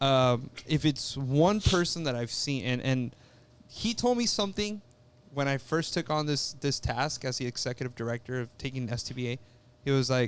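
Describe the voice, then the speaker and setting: With an American accent and an unremarkable speaking voice, a man speaks at a moderate pace in a medium pitch with ordinary pitch variation. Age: 30s. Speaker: builders association executive director. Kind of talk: casual chat.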